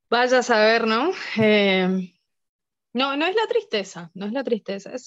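Speaking at a fairly slow pace, a woman swings her pitch very widely. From northeastern Argentina, near Brazil and Paraguay border. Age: adult, mother. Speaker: philosophy teacher. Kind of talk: casual interview. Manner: halting, frequent repetitions.

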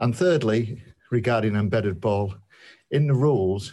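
A man's fairly low voice with a British accent, fairly slow pace and ordinary pitch variation, on a very clean recording with a silent background. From UK. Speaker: listener. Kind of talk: voice message. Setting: recorded voice message.

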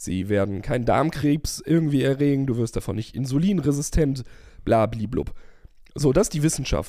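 With a dark, mellow tone and lively intonation, a man of medium pitch speaks at a moderate pace. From Germany, small village. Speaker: podcast co-host. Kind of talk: casual chat.

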